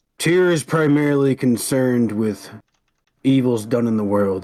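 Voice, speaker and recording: This is a gravelly, put-on character voice. The speaker is a man. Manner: soft-spoken.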